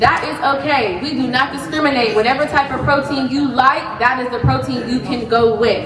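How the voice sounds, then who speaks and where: A loud woman with a high voice speaks at a moderate pace with ordinary pitch variation and hardly any pauses, amid noticeable background noise and audible room echo. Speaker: wellness presenter, business founder. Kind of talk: health talk to a live audience. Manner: casual, chatty.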